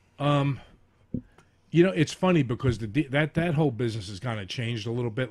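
A man talks fairly quickly with ordinary pitch variation in an unremarkable speaking voice. The recording is very clean, with a silent background. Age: middle-aged. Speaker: comedian and DJ. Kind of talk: casual chat. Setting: studio.

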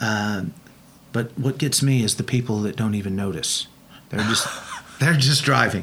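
Amid noticeable background noise, a man with an Oklahoma accent takes long, frequent pauses and shows ordinary pitch variation. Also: medium pitch for a man, moderate pace. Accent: Oklahoma US Southern. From Oklahoma, Bethany. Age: 60s. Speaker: car builder and TV personality. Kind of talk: casual interview chat.

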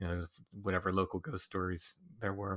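On a very clean recording with a silent background, a man with an unremarkable speaking voice and a fairly low pitch talks at a fairly quick pace. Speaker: paranormal researcher and author. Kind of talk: casual interview.

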